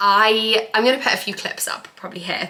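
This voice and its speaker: Speaking at a fairly slow pace, a woman talks with an English accent. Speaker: lifestyle vlogger. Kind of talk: casual chat.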